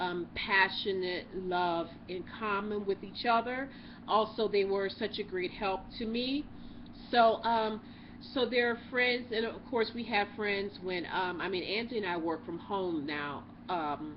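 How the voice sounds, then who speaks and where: A woman with an unremarkable speaking voice talks at a fairly slow pace. Her pitch is medium, with ordinary pitch variation. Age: 40s. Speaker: YouTube co-host. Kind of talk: casual chat.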